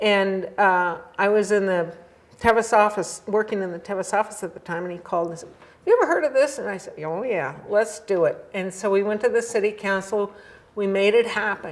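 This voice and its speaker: A woman speaks fairly quickly as noticeable noise fills the background. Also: medium pitch for a woman, ordinary pitch variation, big swings in loudness. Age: 70s. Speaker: endurance riding historian and author. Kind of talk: casual interview chat.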